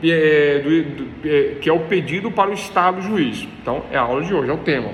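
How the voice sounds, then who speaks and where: A man is heard with audible room echo. Noticeable background noise sits behind him. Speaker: law professor. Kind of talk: lecture. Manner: fast; repetitive, explanatory.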